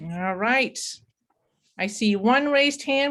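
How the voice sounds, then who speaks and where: A woman's fairly high voice at a fairly slow pace, in a Danish accent. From Denmark. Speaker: webinar moderator. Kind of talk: online webinar facilitation. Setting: video call.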